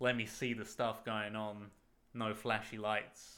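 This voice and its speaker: With a British accent, a man speaks at a fairly slow pace, his medium-pitched voice bright and sharp in tone. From Britain. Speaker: podcast co-host. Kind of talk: casual chat.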